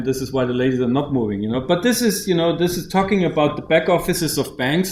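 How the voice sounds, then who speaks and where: Lively intonation from a man with a German accent and fairly high pitch, with audible room echo. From Germany. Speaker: bank founder and CEO. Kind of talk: conference keynote. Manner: halting, with many repetitions.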